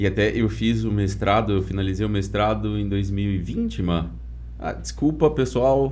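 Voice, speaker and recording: At a moderate pace, the voice swings very widely in pitch, and audible room echo surrounds it. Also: man, very deep, low pitch for a man. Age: 30s. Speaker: podcast host, environmental engineer. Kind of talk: casual interview chat. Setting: studio.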